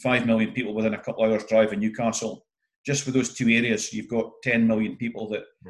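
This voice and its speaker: A man with a Scottish accent talks at a very fast pace and a medium pitch. His intonation is monotone and flat, with big swings in loudness. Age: 50s. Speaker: entrepreneur and event MC. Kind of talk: interview.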